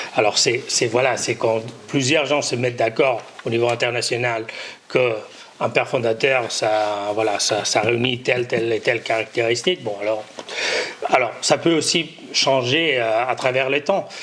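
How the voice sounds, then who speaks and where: A man with a Catalan accent at a medium pitch, fairly slow and fairly even in intonation, over noticeable background noise. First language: Catalan (speaking French). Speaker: conference panelist. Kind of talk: conference closing remarks. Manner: halting, many hesitations and repetitions.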